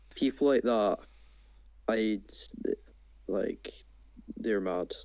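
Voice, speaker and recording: A man speaks with a Scottish accent. His pace is very slow. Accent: Scottish, clear. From Scotland. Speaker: small gaming youtuber. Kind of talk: casual chat. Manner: well-spoken, clear.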